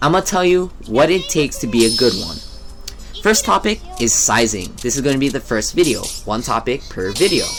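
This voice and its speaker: Moderate pace over music in the background. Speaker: video game and shopping vlogger. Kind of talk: casual vlog monologue over gameplay. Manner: stuttering, halting at times.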